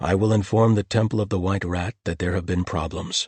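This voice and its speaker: A man's growling, put-on character voice, very deep and low, at a fairly quick pace with fairly even intonation and a dry, close sound with no echo. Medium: read story. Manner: calm and gentle.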